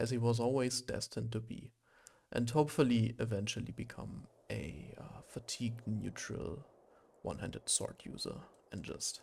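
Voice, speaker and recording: Vocal fry at a moderate pace, with ordinary pitch variation, on a very clean recording against a silent background. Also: man, medium pitch for a man. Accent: German. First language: German. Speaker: gaming streamer. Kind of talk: gameplay commentary. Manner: hesitant, many fillers.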